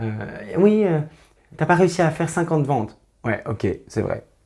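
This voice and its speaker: In a very clean recording with a silent background, a man speaks at a fairly quick pace in a dark, mellow tone. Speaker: tarot reader. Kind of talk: tarot reading to camera. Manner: fast; hesitant, many fillers.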